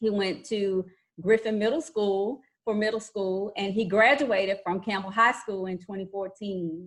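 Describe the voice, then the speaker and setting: Here a woman talks in a Louisiana accent at a medium pitch with ordinary pitch variation. Her pace is fairly slow, and the background is quiet. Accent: Louisiana Southern. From Louisiana, US South. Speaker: school counselor. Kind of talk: informal video introduction to students. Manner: friendly, hesitant with fillers.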